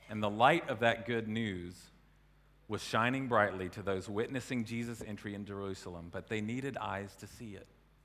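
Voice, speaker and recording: Through audible room echo, a man with an American accent speaks at a fairly low pitch. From US South. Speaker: preacher. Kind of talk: sermon.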